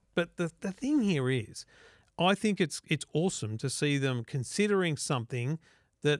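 A man with an Australian accent speaks at a moderate pace and fairly high pitch. His pitch swings very widely, and the sound is dry with no echo. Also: quiet background. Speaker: tech podcast host. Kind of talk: casual chat. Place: studio. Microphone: studio mic.

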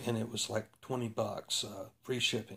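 Using a plain, everyday voice, a man with a fairly low pitch speaks at a fairly slow pace and with fairly even intonation. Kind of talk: tutorial. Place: garage. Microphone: phone near.

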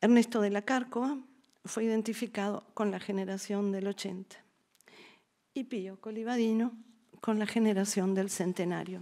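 A dark, mellow tone carries fairly even intonation. Long, frequent pauses break the speech over a quiet background. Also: woman, fairly slow pace. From Argentina. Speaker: art historian and university dean; lecturer. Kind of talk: lecture. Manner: formal. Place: hall. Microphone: podium.

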